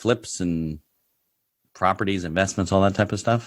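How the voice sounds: The speech comes at a moderate pace with ordinary pitch variation. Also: man, low pitch for a man.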